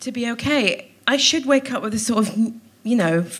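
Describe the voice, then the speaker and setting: Over noticeable background noise, a woman with a South Wales accent talks at a fairly quick pace with ordinary pitch variation. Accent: Welsh (south Wales). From Wales, Cardiff. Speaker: comedian and actor. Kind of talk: live comedy interview. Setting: stage with audience.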